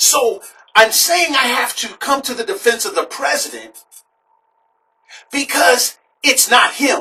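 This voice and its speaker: Pausing long and often, a man talks at an extremely high pitch with very wide pitch swings. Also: fairly slow pace. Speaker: political talk show host. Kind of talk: political commentary.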